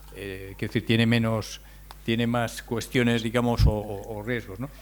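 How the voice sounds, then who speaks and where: A man talks at a medium pitch with fairly even intonation. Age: 60s. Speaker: speaker on demographics. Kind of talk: lecture. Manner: halting, with repetitions.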